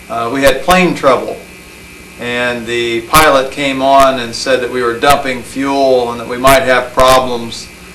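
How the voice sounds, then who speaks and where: A man with an American accent speaks at a fairly slow pace in a medium pitch, his intonation monotone and flat, with big swings in loudness and noticeable background noise. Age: 30s. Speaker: college professor. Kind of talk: personal recorded monologue. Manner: reflective, hesitant with many fillers.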